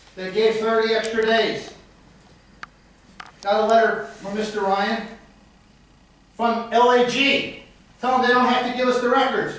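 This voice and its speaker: A man with an American accent speaks loudly in an extremely high, monotone, flat voice, leaving long, frequent pauses. Audible room echo and noticeable background noise fill the recording. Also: moderate pace. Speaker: citizen speaking at council meeting. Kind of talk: public comment at council meeting. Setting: city council meeting.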